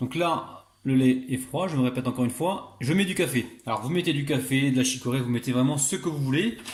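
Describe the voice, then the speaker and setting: A man talks fairly quickly at medium pitch with hardly any pauses. His voice is somewhat breathy, with ordinary pitch variation. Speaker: cooking youtuber. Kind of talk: tutorial. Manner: animated.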